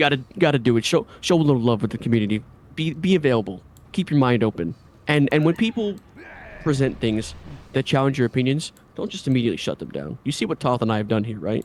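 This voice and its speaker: A man with an American accent talks at a very fast pace. His medium pitch rises and falls with lively intonation. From New York. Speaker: gamer and streamer. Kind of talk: podcast discussion. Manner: animated.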